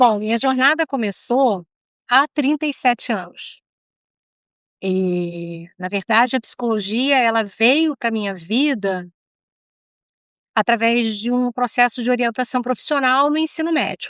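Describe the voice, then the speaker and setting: Her voice high and her intonation lively, a woman speaks at a fairly slow pace with long, frequent pauses, on a very clean, silent-background recording that is dry and close with no echo. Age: 60s. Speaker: psychologist. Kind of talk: interview.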